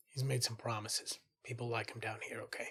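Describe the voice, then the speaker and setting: A man puts on a raspy character voice at a medium pitch, talking at a fairly quick pace. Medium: actual play. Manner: blunt, clipped.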